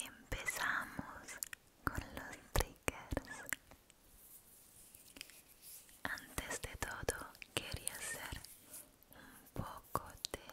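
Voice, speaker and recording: The woman talks at a very slow pace, with long, frequent pauses. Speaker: ASMR creator. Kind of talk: soft-spoken ASMR talk to viewers. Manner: soft close-mic ASMR whisper. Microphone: studio mic.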